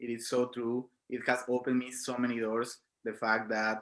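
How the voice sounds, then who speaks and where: A man speaks at a medium pitch with a strong Mexican accent, in a very clean recording with a silent background. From Mexico. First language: Spanish. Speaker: film student. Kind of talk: panel discussion.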